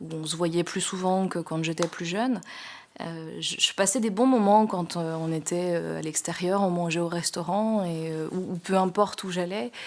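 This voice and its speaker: A woman's fairly low-pitched voice, fairly even in intonation, at a fairly slow pace. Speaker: sign language interpreter. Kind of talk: testimony. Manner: halting, many hesitations.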